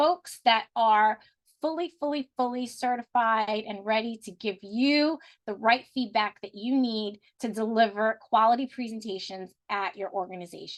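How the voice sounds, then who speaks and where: A woman's plain, everyday voice, fairly high in pitch, at a moderate pace with ordinary pitch variation, in a dry, close sound with no echo. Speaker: business consultant presenting company offerings. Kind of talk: sales pitch. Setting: video call.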